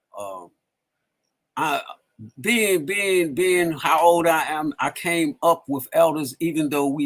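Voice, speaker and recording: A man with a fairly high pitch and an unremarkable speaking voice talks at a fairly slow pace. His pitch varies in an ordinary way. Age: 60s. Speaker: community elder. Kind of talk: casual interview conversation. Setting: live stream.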